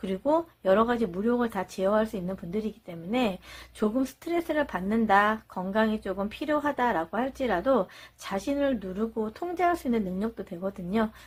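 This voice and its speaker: On a very clean recording with a silent background, a somewhat breathy woman with a fairly high pitch speaks at a moderate pace with lively intonation. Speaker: tarot reader. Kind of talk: tarot reading monologue.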